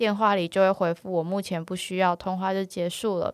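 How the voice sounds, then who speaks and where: A woman with a plain, everyday voice speaks at medium pitch and moderate pace in a dry, close sound with no echo, on a very clean recording with a silent background. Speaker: podcast co-host. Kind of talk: casual chat.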